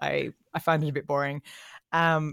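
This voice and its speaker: In a dry, close sound with no echo and a very clean recording with a silent background, a woman speaks with an Australian accent at a very deep, low pitch. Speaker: content marketing head. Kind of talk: casual interview.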